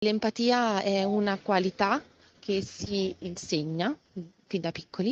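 Medium-pitched speech from a woman, varying in pitch in an ordinary way. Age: 30s. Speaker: educator. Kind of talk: interview. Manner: halting.

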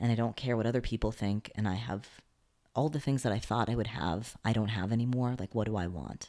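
A normal speaking voice from a man, medium in pitch with fairly even intonation, on a very clean recording with a silent background. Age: 30s. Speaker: actor and comedian. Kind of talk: casual interview chat.

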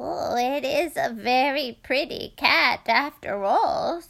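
Putting on a character voice, a woman speaks at a fairly slow pace with high pitch and lively intonation. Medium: read story.

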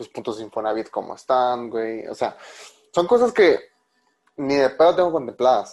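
With a Mexican accent, a man speaks with lively intonation and big swings in loudness. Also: medium pitch for a man, moderate pace. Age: 20s. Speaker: podcast host. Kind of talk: casual chat.

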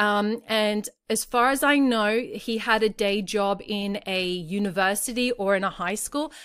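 In a very clean recording with a silent background, a woman speaks with an Australian accent at a medium pitch. Her pace is fairly slow, with hardly any pauses and ordinary pitch variation. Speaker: parenting podcast host. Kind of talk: solo podcast monologue.

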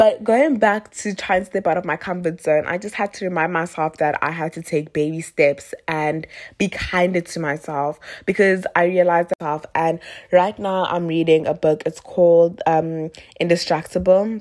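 In an animated tone, a woman with a fairly low pitch speaks at a moderate pace. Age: 20s. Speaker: podcaster. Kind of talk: casual monologue.

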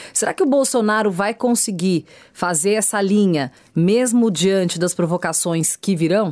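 In an unremarkable speaking voice, the speaker talks at a fairly slow pace with very even loudness and ordinary pitch variation. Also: woman, medium pitch for a woman. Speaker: radio host. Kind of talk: interview.

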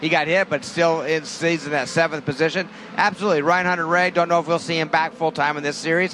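A man with a high voice speaks at a very fast pace and fairly even intonation. Noticeable background noise runs under him. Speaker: driver analyst. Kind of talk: race analysis commentary. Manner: conversational, knowledgeable.

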